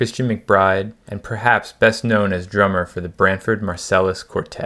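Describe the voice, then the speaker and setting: The recording is very clean, with a silent background. A man speaks with an American accent in a monotone, flat delivery. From New Jersey (Woodbridge). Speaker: podcast host, jazz musician. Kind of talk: scripted intro narration; casual interview chat. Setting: outdoors in a park.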